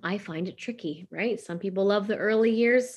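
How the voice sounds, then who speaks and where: Over a quiet background, a woman talks at a fairly quick pace with ordinary pitch variation in an unremarkable speaking voice. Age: 40s. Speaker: business coach and podcast host. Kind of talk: casual monologue. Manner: conversational with many fillers.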